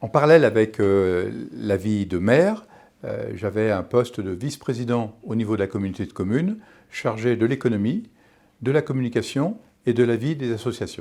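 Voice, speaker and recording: This voice carries a dark, mellow tone with ordinary pitch variation at a moderate pace. The recording is very clean, with a silent background. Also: man, medium pitch for a man. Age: 60s. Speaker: local election candidate. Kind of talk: campaign statement. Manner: hesitant, with fillers and restarts.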